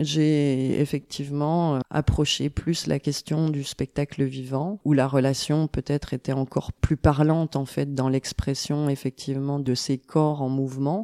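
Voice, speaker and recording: A woman speaks in a very deep, low pitch with a dark, mellow tone, fairly slowly and in a monotone, flat intonation, with hardly any pauses and a dry, close sound with no echo. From eastern France (Besançon, Franche-Comté). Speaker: kinesiologist. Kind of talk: interview.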